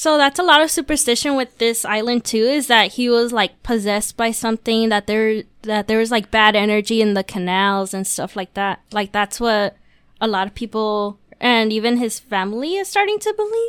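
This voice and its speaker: In an ordinary speaking voice, the woman talks with a fairly high pitch. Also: ordinary pitch variation, moderate pace, dry, close sound with no echo, very clean recording, silent background. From Mexican-American. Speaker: podcast guest. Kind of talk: casual chat.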